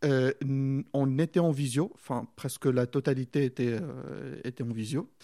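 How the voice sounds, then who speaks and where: Speaking at a fairly slow pace with an Arabic accent, a man has a dark, mellow tone and fairly even intonation, recorded with a dry, close sound and no echo. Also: medium pitch for a man. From Morocco. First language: Arabic (speaking French). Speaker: doctoral student. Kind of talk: interview. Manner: halting.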